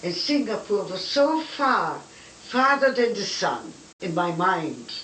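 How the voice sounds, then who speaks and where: A woman with a fairly high pitch speaks with very wide pitch swings. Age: 80s+. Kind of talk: personal life stories, reminiscence. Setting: home recording. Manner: charming storyteller.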